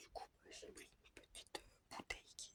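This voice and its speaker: A woman is whispering. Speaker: vlogger. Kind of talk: casual vlog. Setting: at night, others asleep.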